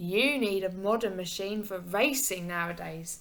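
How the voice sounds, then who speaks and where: A woman uses a put-on character voice at medium pitch and a moderate pace. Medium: read story. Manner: thoughtful, calm.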